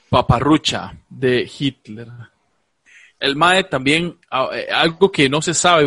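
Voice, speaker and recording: The man's voice has a bright, sharp tone and ordinary pitch variation. The sound is dry and close, with no echo. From Costa Rica, Alajuela. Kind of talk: casual comedic chat, live-streamed. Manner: animated.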